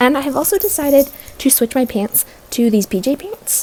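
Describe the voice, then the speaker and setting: A woman's voice over noticeable background noise. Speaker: crafting vlogger. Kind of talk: tutorial vlog. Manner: fast; casual.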